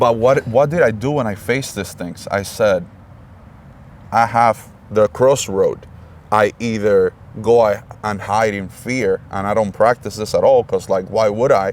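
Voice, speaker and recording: A man speaks at a fairly slow pace with a non-native accent. His pitch is medium and his intonation fairly even. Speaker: podcast host. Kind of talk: interview. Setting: in person, face to face. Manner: halting.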